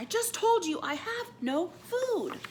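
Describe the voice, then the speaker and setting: A woman's squeaky, put-on character voice, extremely high in pitch with very wide pitch swings, at a fairly slow pace against clear background noise. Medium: read story.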